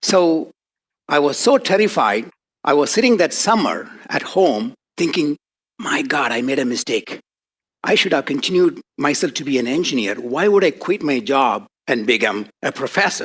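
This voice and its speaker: With a non-native accent, a man of fairly high pitch speaks at a moderate pace, his voice making very wide pitch swings between long, frequent pauses. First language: not English. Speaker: professor. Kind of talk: lecture.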